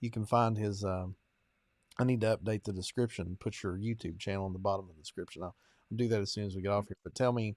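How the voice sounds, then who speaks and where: A man with a strong Kentucky accent, very fast and fairly even in intonation, in a dry, close sound with no echo. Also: fairly low pitch for a man, very clean recording, silent background. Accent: strong rural Kentucky. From eastern Kentucky, US. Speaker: podcast host and preacher. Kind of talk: interview conversation.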